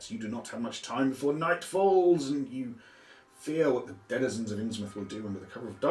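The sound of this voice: Unforced reading voice throughout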